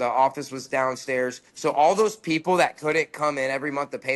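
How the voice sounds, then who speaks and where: This man speaks at medium pitch with ordinary pitch variation. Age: 30s. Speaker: guest sharing recovery story. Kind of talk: testimony. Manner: fast; hesitant, many fillers.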